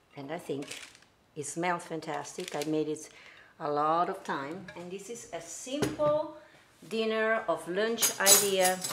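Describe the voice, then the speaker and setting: Speaking at a fairly slow pace with an Italian accent, a woman shows big swings in loudness against noticeable background noise. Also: fairly low pitch for a woman, lively intonation. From Italy, Venice; Italy. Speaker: singer and songwriter hosting a cooking livestream; home cook host. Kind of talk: casual livestream cooking tutorial. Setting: home kitchen livestream. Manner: animated. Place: kitchen. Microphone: camera far.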